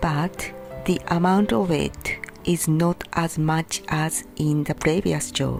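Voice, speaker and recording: Very slowly, a woman speaks in a fairly low voice with music in the background. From Japan. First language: Japanese. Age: 50s. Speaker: English learner. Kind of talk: casual talk to camera.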